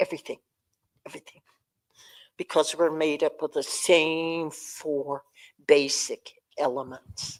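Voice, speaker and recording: A woman's very deep, low voice, monotone and flat, with long, frequent pauses and big swings in loudness. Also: fairly slow pace, dry, close sound with no echo. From Cheyenne community, US Great Plains. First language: Cheyenne. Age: 90s. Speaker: elder speaker. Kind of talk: public talk.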